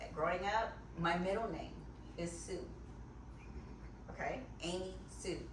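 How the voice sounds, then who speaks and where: Recorded with noticeable background noise and audible room echo, a woman speaks with an American accent. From US, North Carolina. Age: 50s. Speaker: guest. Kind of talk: casual chat.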